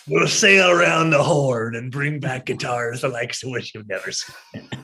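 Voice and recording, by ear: Put-on character voice from a man, medium in pitch, moderate in pace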